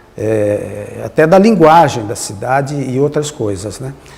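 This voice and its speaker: Very wide pitch swings fill a man's fairly high voice. He speaks at a very slow pace against noticeable background noise. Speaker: former mayor and cultural council member. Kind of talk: interview reminiscence. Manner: halting, with many fillers.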